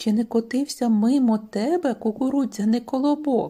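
A high-pitched woman's voice is heard. She is using a put-on character voice. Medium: read story.

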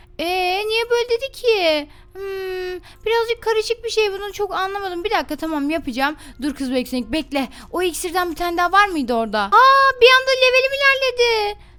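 A woman projects a raised voice with an extremely high pitch and a bright, sharp tone. Her pitch swings very widely. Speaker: gaming youtuber. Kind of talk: gameplay commentary. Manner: animated.

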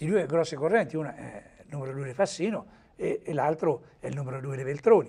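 A man with a fairly high pitch, a dark, mellow tone and a somewhat breathy quality, talking at a fairly quick pace with big swings in loudness and ordinary pitch variation. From Umbria, Perugia; Umbria. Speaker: journalist. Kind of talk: TV talk show interview. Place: studio. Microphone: lapel.

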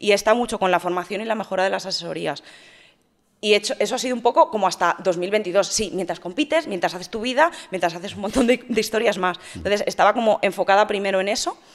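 Over a quiet background, a woman talks at a very fast pace. Her pitch shows ordinary variation. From Spain, Madrid. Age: 30s. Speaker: fitness influencer and bodybuilding competitor; fitness influencer. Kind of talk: interview. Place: studio. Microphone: studio mic.

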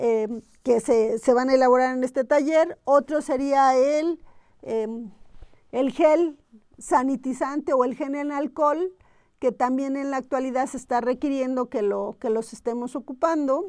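A woman speaks at a fairly slow pace in a high voice against a quiet background. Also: fairly even intonation. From Oaxaca, Mexico. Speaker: aromatherapy teacher. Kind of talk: live-streamed workshop talk. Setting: live stream from institute. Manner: hesitant, many fillers. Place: studio. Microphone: lapel.

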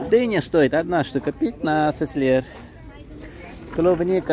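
A man at a very slow pace with ordinary pitch variation, dry sound without echo, and light background noise. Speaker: market walk vlogger. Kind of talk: casual commentary naming prices. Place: market. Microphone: phone near.

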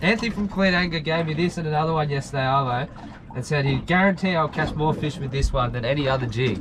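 A man talks fairly quickly with ordinary pitch variation, noticeable background noise behind him. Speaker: fishing vlogger. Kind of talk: casual vlog chat. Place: boat. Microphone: camera far.

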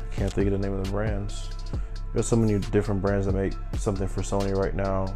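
Music plays clearly behind the voice. The speaker is a man. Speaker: amateur photographer reviewing gear. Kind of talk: casual product review vlog. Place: home room. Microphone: lapel.

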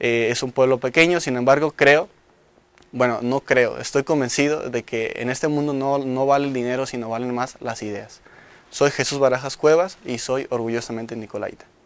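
A man speaks at a moderate pace with fairly even intonation. The sound is dry with no echo. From Michoacán, Mexico (Coalcomán); Michoacán, Mexico. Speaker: engineering student. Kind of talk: promotional testimonial. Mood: proud, earnest. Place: studio. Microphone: lapel.

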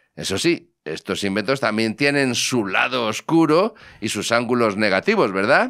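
A man's bright, sharp voice with lively intonation, at a fairly slow pace over a quiet background. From Spain. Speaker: technology podcast host. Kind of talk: casual chat. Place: studio. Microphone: studio mic.

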